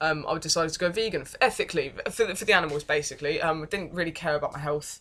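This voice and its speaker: A very fast woman at a fairly low pitch, bright and sharp in tone, with ordinary pitch variation and big swings in loudness. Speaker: vlogger. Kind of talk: personal life story vlog. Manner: hesitant, many fillers.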